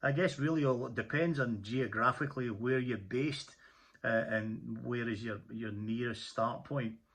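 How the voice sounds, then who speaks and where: A man with a Scottish accent talks at a moderate pace with ordinary pitch variation. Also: medium pitch for a man. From Scotland. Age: 50s. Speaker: motorcyclist vlogger. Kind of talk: casual tutorial monologue. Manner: halting, many fillers and repeats.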